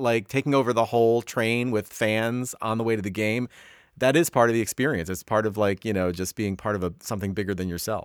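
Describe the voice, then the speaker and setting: A man with an American accent and a normal speaking voice talks at a medium pitch and a fairly quick pace with ordinary pitch variation. The recording is very clean with a silent background and a dry, close sound with no echo. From US East Coast. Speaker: podcast host. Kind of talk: casual interview.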